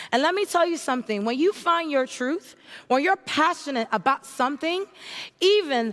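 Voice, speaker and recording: A woman with an American accent speaks in a high voice, her tone animated and her intonation lively. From Haiti and New York. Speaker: entrepreneur, keynote speaker. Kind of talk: keynote speech.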